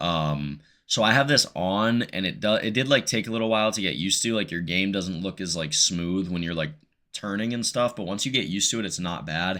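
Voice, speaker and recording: On a very clean recording with a silent background, a man talks at a fairly quick pace. His tone is bright and sharp, with ordinary pitch variation. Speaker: gaming YouTuber and streamer. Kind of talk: gameplay settings tutorial. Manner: casual, filler-heavy; stutters in outros.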